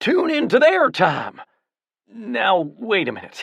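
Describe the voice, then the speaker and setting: A put-on character voice at a fairly slow pace. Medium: read story. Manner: excitable, fervent.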